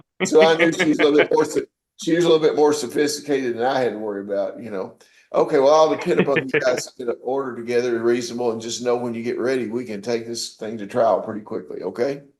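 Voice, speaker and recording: With a Southern US accent, a man talks at a very fast pace with ordinary pitch variation. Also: medium pitch for a man. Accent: Southern country. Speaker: judge. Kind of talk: court proceedings. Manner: informal, folksy; stammering repetitions. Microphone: audio quality bad today.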